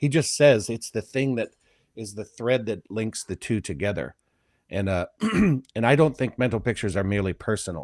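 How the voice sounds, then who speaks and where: A man with a slight Midwestern accent and lively intonation, in a dry, close sound with no echo on a very clean recording with a silent background. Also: medium pitch for a man. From US Midwest, Flint, Michigan. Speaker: philosophy discussion co-host. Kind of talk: casual discussion. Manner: slower-paced; halting.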